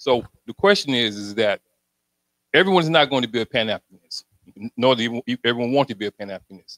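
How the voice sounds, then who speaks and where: The speaker talks at a very fast pace with an American accent. The sound is dry and close, with no echo. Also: man. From Alabama, US South. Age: 60s. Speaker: audience member with a mental health background. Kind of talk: question from the floor at a community forum. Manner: halting, repeats words.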